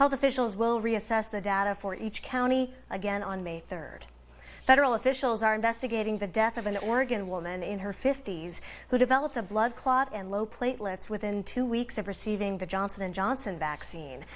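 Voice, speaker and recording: Using an unremarkable speaking voice, a woman with an American accent talks at a fairly quick pace with ordinary pitch variation. The recording is very clean, with a silent background. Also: fairly high pitch for a woman. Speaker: TV news anchor and reporter. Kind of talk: TV news anchor read.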